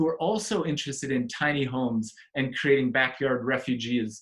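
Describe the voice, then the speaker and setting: Here a man speaks at a moderate pace and medium pitch. His pitch varies in an ordinary way. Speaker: community network facilitator. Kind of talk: online group presentation. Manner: animated.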